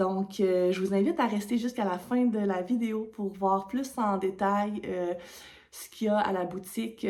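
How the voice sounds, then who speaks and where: A dark, mellow tone with a Quebec accent. The pace is moderate and the intonation fairly even. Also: woman. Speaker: knitting podcaster. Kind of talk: casual vlog talk to camera. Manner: hesitant, many fillers.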